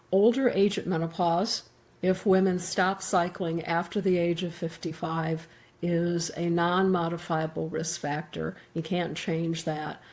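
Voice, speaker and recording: A woman talks at a fairly slow pace and a fairly low pitch. Her intonation is monotone and flat. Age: 70s. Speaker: physician and author. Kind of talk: interview.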